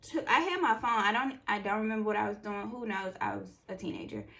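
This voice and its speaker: A loud woman with an animated tone over noticeable background noise. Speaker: beauty vlogger. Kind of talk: casual chat.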